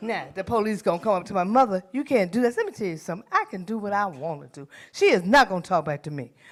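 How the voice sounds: A woman at medium pitch talks at a fairly quick pace, her voice making big pitch swings.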